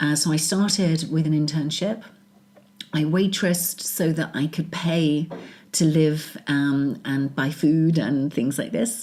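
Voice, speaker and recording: In a British accent, a woman speaks with a very deep, low pitch, a dark, mellow tone and fairly even intonation. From England. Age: 40s. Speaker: business executive. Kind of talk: interview.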